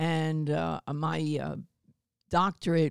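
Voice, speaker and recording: A woman with an American accent speaks in a very deep, low voice on a very clean recording with a silent background. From US Northeast, Baltimore and South Jersey. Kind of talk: interview.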